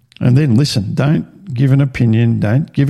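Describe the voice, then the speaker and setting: Speaking at a moderate pace with an Australian accent, a man shows ordinary pitch variation. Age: 50s. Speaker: podcast host. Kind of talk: personal testimony monologue. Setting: home recording with video. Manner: halting.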